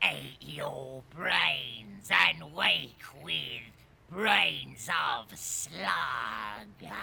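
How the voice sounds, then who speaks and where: A man with a raspy voice of medium pitch speaks at a very slow pace. His pitch swings very widely. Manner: eerie, halting broken speech.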